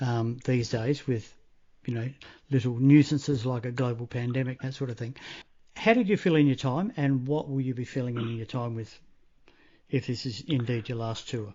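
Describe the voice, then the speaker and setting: Using ordinary pitch variation, a man of medium pitch talks at a moderate pace. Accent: Australian. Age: 50s. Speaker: radio interviewer. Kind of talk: interview. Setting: phone call.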